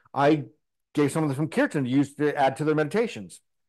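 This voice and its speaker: A man's fairly high voice at a very fast pace, with fairly even intonation over a quiet background. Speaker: spiritual teacher. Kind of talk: interview. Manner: loud; fast, talkative.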